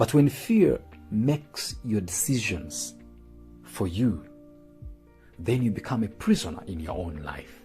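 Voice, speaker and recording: Over music in the background, the speaker goes at a fairly slow pace with very wide pitch swings and long, frequent pauses. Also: man, fairly low pitch for a man. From Uganda. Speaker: motivational speaker. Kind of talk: motivational spoken word. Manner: emotional, earnest.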